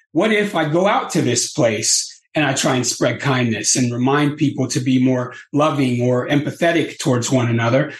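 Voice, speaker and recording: This man's voice is somewhat breathy and medium in pitch, with ordinary pitch variation. He keeps a moderate pace and very even loudness. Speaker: peace activist. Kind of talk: interview, storytelling. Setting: podcast interview. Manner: animated, calm and empathetic.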